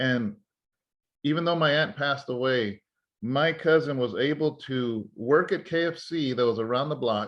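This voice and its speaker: A man with an American accent talks at a moderate pace in a normal speaking voice, fairly high in pitch. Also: ordinary pitch variation. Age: 40s. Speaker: pastor and podcast host. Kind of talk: conversational interview.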